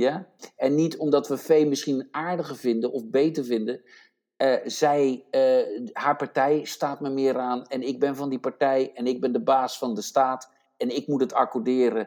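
A man speaks at a fairly slow pace with medium pitch, fairly even intonation, and an unremarkable speaking voice. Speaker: podcast co-host. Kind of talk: casual chat.

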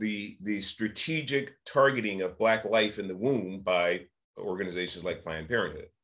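An unremarkable speaking voice with an American accent moves at a moderate pace with ordinary pitch variation in a very clean recording with a silent background. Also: man. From San Francisco, California. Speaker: nonprofit founder and public speaker. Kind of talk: roundtable discussion.

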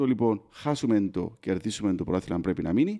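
A man speaks at a moderate pace in a dark, mellow tone. The recording is very clean, the background silent. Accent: Cypriot. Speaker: football podcast host. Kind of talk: casual chat.

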